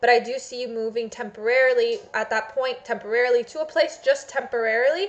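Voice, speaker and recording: Speaking at a very fast pace with hardly any pauses, a woman uses a high pitch and ordinary pitch variation. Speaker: psychic tarot reader. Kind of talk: tarot reading for a client. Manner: hesitant, many fillers.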